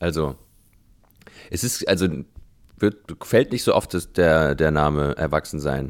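Very deep, low male voice with vocal fry, ordinary pitch variation, a fairly slow pace and long, frequent pauses. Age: 30s. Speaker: composer and pianist. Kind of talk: casual interview conversation. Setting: Skype call. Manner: hesitant, many fillers.

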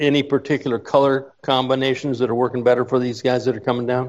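At a fairly quick pace, a man talks in a relaxed tone. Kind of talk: casual on-location radio chat, guest interview. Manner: relaxed, friendly, somewhat halting.

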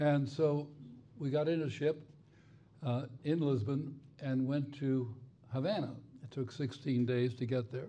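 A dark, mellow tone at a fairly slow pace, with fairly even intonation, long, frequent pauses and audible room echo. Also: man, fairly high pitch for a man. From Spain and Cuba. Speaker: retired federal judge. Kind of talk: onstage interview. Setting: stage with audience.

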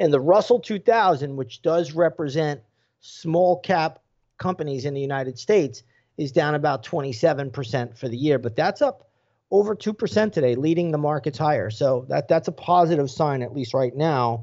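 Speaking at a moderate pace, a man with a fairly high pitch uses lively intonation. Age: 50s. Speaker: stock trader. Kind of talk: casual chat. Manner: halting, frequent repetitions.

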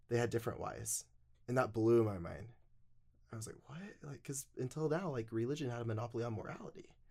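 At a very fast pace, a man with a medium pitch and a dark, mellow, somewhat breathy tone talks with big swings in loudness. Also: ordinary pitch variation. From Utah. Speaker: podcast guest sharing life story. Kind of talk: interview storytelling. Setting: studio.

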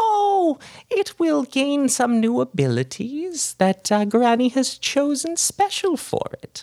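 At a fairly slow pace, a put-on character voice speaks in a high pitch. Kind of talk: grandmotherly menace. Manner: sweet, wheedling, sinister.

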